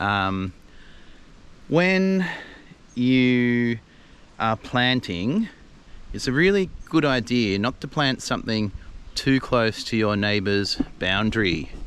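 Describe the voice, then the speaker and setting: Speaking very slowly in an Australian accent, a man leaves long, frequent pauses and makes very wide pitch swings. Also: medium pitch for a man. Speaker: gardening video host. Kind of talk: casual vlog tutorial. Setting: outdoors in own garden. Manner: casual, hesitant with fillers.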